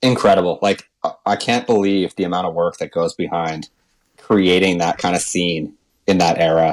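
The man's pitch is very deep and low. He moves at a moderate pace with fairly even intonation. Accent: Canadian. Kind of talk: casual chat.

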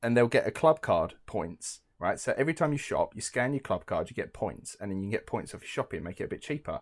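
A man with an English accent at a very fast pace, with hardly any pauses. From England. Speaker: podcast co-host. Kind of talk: casual chat. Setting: remote call.

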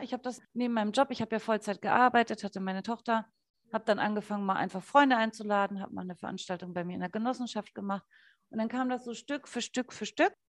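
Very fast and fairly high-pitched, a woman speaks with ordinary pitch variation in a dry, close sound with no echo over a quiet background. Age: 30s. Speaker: essential oils distributor, former radio ad sales. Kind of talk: casual interview chat.

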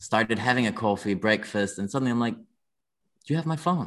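A man with a Danish accent, lively intonation and a fairly quick pace, against a quiet background. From Denmark. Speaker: watch brand founder, former dancer. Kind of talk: casual interview chat.

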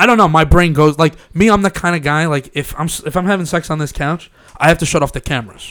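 A man with a Long Island accent, high-pitched and animated, at a fairly quick pace with ordinary pitch variation. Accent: New York (Long Island). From Long Island, New York. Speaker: podcast host. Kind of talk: casual chat. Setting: studio.

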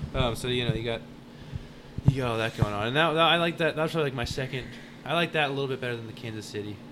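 Speech comes at a very fast pace in an American accent with ordinary pitch variation. Noticeable background noise sits behind it. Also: man, medium pitch for a man. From Texas (Arlington). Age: 20s. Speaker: barbecue pitmaster. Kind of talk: casual interview.

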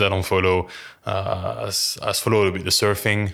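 In a very clean recording with a silent background, a man with a French accent speaks at a fairly low pitch. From France. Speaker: personal trainer. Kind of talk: casual chat. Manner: halting, many fillers.

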